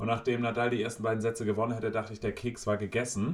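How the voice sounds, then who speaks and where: A man's voice sits at a fairly low pitch. He talks at a very fast pace. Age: 30s. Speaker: podcast co-host. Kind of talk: casual chat.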